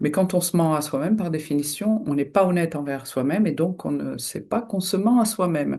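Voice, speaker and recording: Vocal fry runs through this fairly quick speech over a quiet background. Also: woman, fairly low pitch for a woman. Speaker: hypnotherapist. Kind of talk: solo video talk. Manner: hesitant, many fillers.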